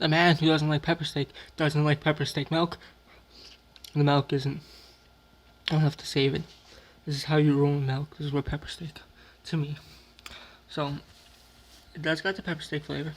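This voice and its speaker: Here a man speaks at a moderate pace in a fairly high pitch. His intonation is monotone and flat, with long, frequent pauses. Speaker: YouTuber doing food taste tests. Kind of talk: casual vlog commentary. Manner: dramatic.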